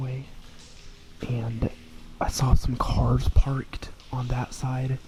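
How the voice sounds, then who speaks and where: Over noticeable background noise, a man speaks at a very slow pace. His medium-pitched voice is monotone, with flat intonation. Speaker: urban explorer vlogger. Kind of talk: casual vlog narration. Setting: indoors in abandoned factory. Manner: quiet, hushed to avoid security.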